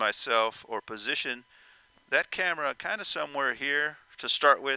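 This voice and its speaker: A man's fairly high-pitched voice with a bright, sharp tone and lively intonation, dry with no echo, over a quiet background. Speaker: VR flight sim content creator. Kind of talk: tutorial. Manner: loud; halting, many fillers. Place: home room.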